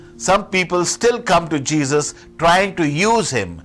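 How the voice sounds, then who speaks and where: A man with a fairly high voice speaks at a fairly slow pace. His intonation is lively, and music plays in the background. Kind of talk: Sunday homily / sermon.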